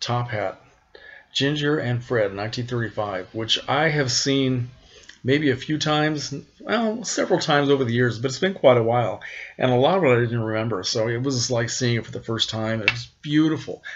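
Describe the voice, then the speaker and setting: This man has an unremarkable speaking voice at a medium pitch. He talks at a moderate pace with ordinary pitch variation. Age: 60s. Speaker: classic film collector vlogger. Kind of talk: casual vlog update.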